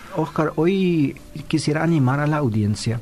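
Noticeable background noise sits behind a man talking with lively intonation. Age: 50s. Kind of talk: casual chat.

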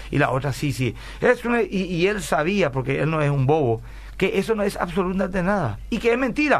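This man's voice is high-pitched, with very wide pitch swings. He talks at a fairly quick pace. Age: 40s. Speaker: pastor and radio host. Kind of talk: radio Bible talk show.

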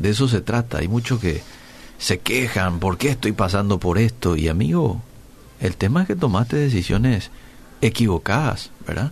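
Somewhat breathy, a man speaks at a moderate pace in a fairly low voice. His pitch swings very widely. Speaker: radio host. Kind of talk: radio interview; reading aloud.

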